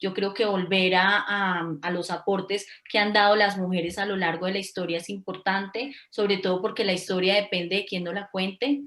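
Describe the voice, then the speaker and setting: At a moderate pace with hardly any pauses, a woman talks at a medium pitch with fairly even intonation. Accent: Colombian. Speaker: social worker. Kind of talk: panel discussion. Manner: halting.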